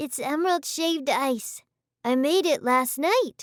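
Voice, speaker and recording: Using a put-on character voice, the speaker talks high and at a fairly slow pace. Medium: read story. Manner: soft, gentle.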